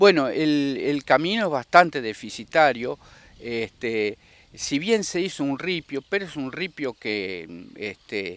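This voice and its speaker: Recorded very cleanly against a silent background, the speaker talks at a very slow pace with a dry, close sound free of echo, big swings in loudness, and very wide pitch swings. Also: man, fairly high pitch for a man. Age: 60s. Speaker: rice farmer. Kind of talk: interview. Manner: halting.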